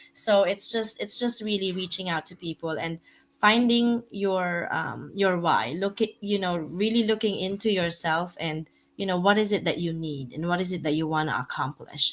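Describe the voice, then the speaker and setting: Her medium-pitched voice carries a non-native accent as the woman talks. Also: ordinary pitch variation, moderate pace. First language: not English. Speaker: real estate investor. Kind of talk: podcast interview. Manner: halting.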